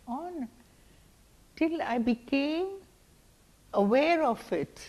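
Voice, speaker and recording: Lively intonation carries speech delivered at a very slow pace. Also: woman. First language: not English. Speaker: community elder. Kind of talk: oral history. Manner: halting.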